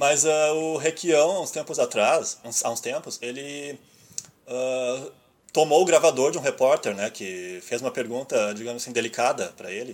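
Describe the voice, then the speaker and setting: This man's fairly high voice moves at a moderate pace, with ordinary pitch variation and big swings in loudness. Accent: Rio Grande do Sul. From Rio Grande do Sul, Brazil. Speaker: podcast host and website editor. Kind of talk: casual chat. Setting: Skype call.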